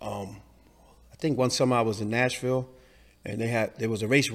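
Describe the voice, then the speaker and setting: A man with a New York accent talks at a medium pitch and a very fast pace. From New York City, Lower East Side. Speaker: community member. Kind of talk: interview.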